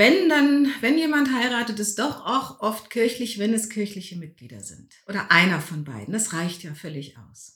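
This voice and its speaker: With a fairly high pitch and vocal fry, a woman speaks at a moderate pace, her pitch swinging very widely and her loudness swinging a lot, with hardly any pauses. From Lower Rhine region, Germany. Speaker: Protestant pastor. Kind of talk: interview.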